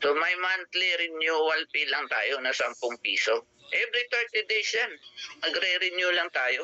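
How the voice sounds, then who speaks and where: The man's voice sits high in pitch, with lively intonation. He talks at a fairly slow pace and keeps his loudness very even. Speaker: business opportunity presenter. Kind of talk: sales pitch. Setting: video call. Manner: animated.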